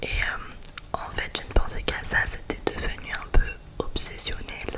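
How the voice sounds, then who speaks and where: A woman whispers fairly slowly while noticeable noise sits in the background. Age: 20s. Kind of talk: ASMR chit-chat. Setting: close to the microphone. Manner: whispered.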